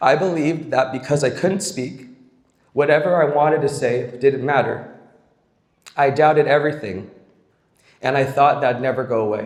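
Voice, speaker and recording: A man talks at a moderate pace and a fairly high pitch, with ordinary pitch variation. He takes long, frequent pauses, and the room echo is audible. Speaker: camp staff member. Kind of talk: speech.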